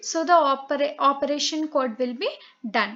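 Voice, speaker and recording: Her pitch is high, and this woman's voice varies in pitch an ordinary amount. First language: Telugu. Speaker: online tutor. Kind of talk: lecture. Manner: halting, many fillers.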